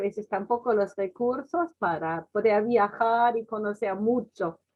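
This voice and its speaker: A woman speaks at a very slow pace with a German accent. Her voice sits fairly high in pitch. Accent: German accent in Spanish, clearly noticeable. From Germany. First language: German (speaking Spanish). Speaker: missionary. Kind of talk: testimony.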